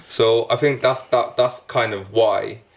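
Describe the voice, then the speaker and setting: A man speaks. He has a South Welsh accent. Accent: Newport Welsh. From Wales, Newport. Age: 20s. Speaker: rapper. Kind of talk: casual chat.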